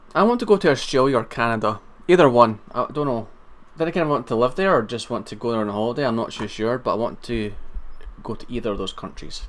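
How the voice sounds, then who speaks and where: Lively in intonation, a man at a medium pitch talks at a very fast pace. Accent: Scottish. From Scotland. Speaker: live streamer. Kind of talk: casual chat. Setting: live stream on camera. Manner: halting, stammering restarts.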